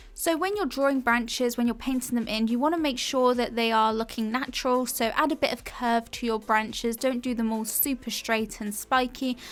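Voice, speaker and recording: A woman's high voice with an English accent, at a fairly quick pace with hardly any pauses and ordinary pitch variation. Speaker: art tutor. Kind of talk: narrated painting tutorial.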